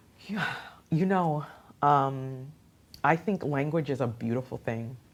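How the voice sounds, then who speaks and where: The speaker has a Haitian accent. The pace is fairly slow. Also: woman, very deep, low pitch for a woman, ordinary pitch variation. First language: Haitian Creole. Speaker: radio host and youth program founder. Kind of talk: interview. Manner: animated.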